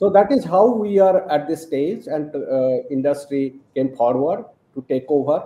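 The man's voice is fairly high, with a dark, mellow tone and lively intonation. He talks at a fairly slow pace, and the room echo is audible. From India. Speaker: professor and quantum photonics researcher. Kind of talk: interview. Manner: hesitant with fillers. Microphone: video call.

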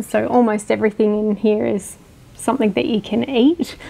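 Over noticeable background noise, a woman with an Australian accent speaks at a moderate pace and a fairly high pitch. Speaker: homeowner. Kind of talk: home tour interview.

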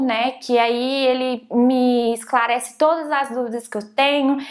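The background is quiet as a woman talks fairly slowly. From Brazil. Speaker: software developer and YouTuber; YouTuber. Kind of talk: tutorial. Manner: casual.

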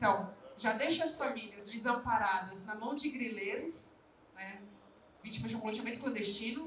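With audible room echo and light background noise, a woman speaks fairly slowly at a fairly high pitch, using ordinary pitch variation. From Brazil, Guarulhos (São Paulo); São Paulo, Brazil. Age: 20s. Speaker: politician and activist; politician. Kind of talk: panel talk at book launch. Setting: live event with audience. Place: hall. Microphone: handheld.

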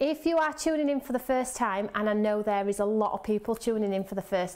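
A woman speaks at a fairly quick pace. Her pitch varies in an ordinary way. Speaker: presenter. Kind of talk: live show host talk. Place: studio. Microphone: lapel.

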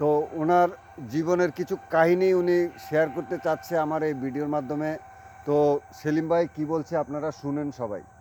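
Fairly high-pitched male speech, ordinary in its pitch variation, set against noticeable background noise. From Bangladesh, Lakshmipur district. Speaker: video blogger. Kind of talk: vlog interview.

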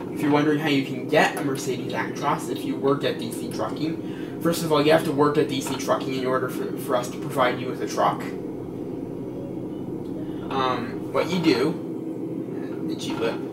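A man at a moderate pace, with long, frequent pauses over loud background noise. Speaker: gamer commentating. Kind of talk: casual gameplay commentary. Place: home room.

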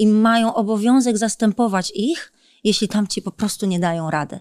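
The background is quiet as a woman speaks with a fairly high pitch. Her pace is moderate and her intonation lively. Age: 30s. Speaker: politician. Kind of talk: interview. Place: studio. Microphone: studio mic.

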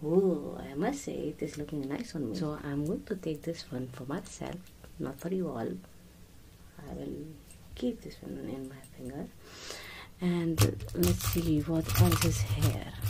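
A woman speaks at a fairly slow pace with long, frequent pauses and big swings in loudness, over light background noise. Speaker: presenter. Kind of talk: casual product show-and-tell. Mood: delighted, admiring. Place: shop. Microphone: phone near.

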